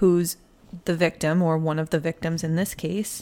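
With an American accent, a woman speaks at a moderate pace. Hers is a plain, everyday voice, fairly low in pitch. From Massachusetts. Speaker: podcast host. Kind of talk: casual true crime storytelling.

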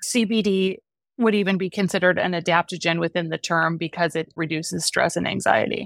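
A woman with an unremarkable speaking voice talks at a fairly quick pace in a fairly low pitch with fairly even intonation. The recording is very clean with a silent background and a dry, close sound with no echo. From US Midwest, Wisconsin. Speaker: beverage company founder. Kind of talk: interview.

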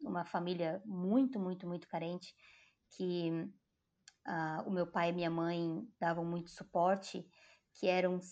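Against a quiet background, a woman with a dark, mellow tone speaks fairly slowly at a fairly low pitch, her intonation fairly even. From Brazil, Joinville, Santa Catarina. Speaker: community worker. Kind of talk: interview conversation.

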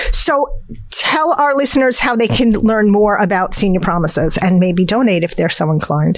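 Over noticeable background noise, a woman of medium pitch talks at a moderate pace, her loudness very even while her pitch swings very widely. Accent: New Jersey. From New Jersey. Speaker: podcast co-host. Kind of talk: casual interview.

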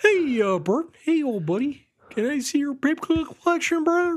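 Speaking at a moderate pace, the speaker uses a high-pitched, put-on character voice. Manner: friendly, chummy.

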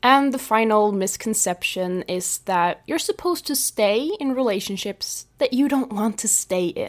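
A woman with a fairly high pitch speaks at a fairly slow pace with lively intonation. She leaves hardly any pauses, and the recording is very clean with a silent background. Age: 20s. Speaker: life coach. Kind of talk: solo podcast monologue. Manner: conversational.

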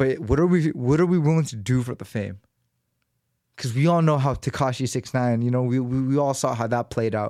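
A man with an American accent, medium in pitch with a dark, mellow tone and ordinary pitch variation, at a fairly quick pace on a very clean recording with a silent background. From Los Angeles, US West Coast. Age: 30s. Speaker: podcast host. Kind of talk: casual monologue. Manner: casual, slangy.

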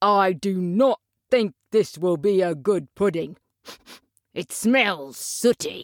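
A put-on character voice at middle pitch, very slow, with long, frequent pauses. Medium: audio drama. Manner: pompous, fussy.

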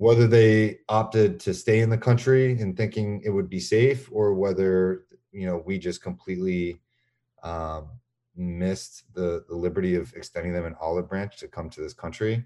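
A man's very deep, low voice with a dark, mellow tone and an American accent, at a moderate pace with ordinary pitch variation. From Boston. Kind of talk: casual interview.

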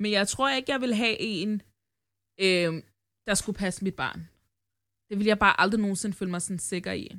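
This woman has a bright, sharp tone and a medium pitch with ordinary pitch variation, moving at a moderate pace with long, frequent pauses. The recording is very clean, with a silent background. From Denmark. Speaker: podcast host. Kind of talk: casual chat.

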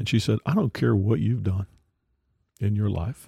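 A man talks with a fairly low pitch and a dark, mellow, somewhat breathy tone. The recording is very clean with a silent background and a dry, close sound with no echo. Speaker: executive director of a rescue mission, podcast host. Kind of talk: casual interview chat.

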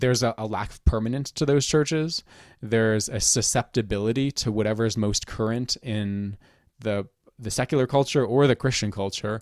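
Over a very clean recording with a silent background, a man with an unremarkable speaking voice and medium pitch talks at a moderate pace with fairly even intonation, the sound dry and close with no echo. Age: 30s. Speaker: Anglican priest, podcast host. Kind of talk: casual conversation.

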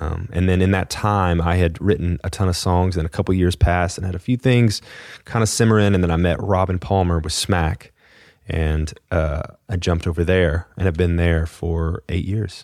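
A man speaks with a Texan accent at a very deep, low pitch. His intonation stays fairly even. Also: moderate pace, very clean recording, silent background. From Texas, Fort Worth area. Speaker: songwriter and singer. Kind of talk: casual interview.

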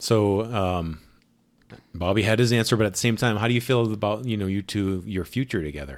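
The recording is very clean with a silent background as a man, in a normal speaking voice, talks fairly quickly with ordinary pitch variation. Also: fairly low pitch for a man. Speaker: podcast host, ministry interviewer. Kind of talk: interview. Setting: in guest's apartment.

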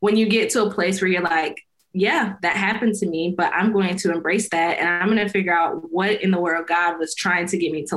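A woman with an American accent, medium-pitched, with ordinary pitch variation. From US Midwest, small-town Illinois. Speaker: author, speaker and faith coach. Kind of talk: interview, personal testimony.

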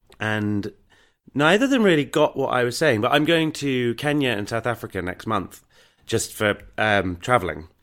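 This man talks at a moderate pace in a southern English accent, with a medium pitch and lively intonation. The recording is very clean, with a silent background. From southern England, rural Hampshire. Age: 30s. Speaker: actor and writer. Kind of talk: interview, personal story. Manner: hesitant, many fillers.

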